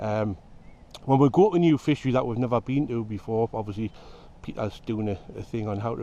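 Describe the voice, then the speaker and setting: In a Geordie accent, this dark, mellow voice moves at a fairly quick pace with ordinary pitch variation. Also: man. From northern England, Newcastle area (Geordie). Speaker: fishing video host. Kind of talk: casual interview.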